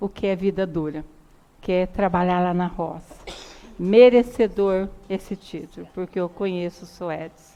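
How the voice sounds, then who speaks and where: At a fairly slow pace comes a normal speaking voice. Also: woman. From Brazil, interior of São Paulo state. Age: 60s. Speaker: city councillor. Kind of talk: council session remarks. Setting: council chamber.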